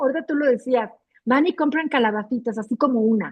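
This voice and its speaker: Here a woman with a high pitch talks at a moderate pace with ordinary pitch variation. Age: 60s. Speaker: book club reader. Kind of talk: casual chat.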